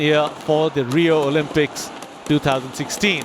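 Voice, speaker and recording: Energetic and enthusiastic, a man speaks at a fairly high pitch over noticeable background noise. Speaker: sports commentator. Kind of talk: live sports commentary, badminton match. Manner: energetic, enthusiastic.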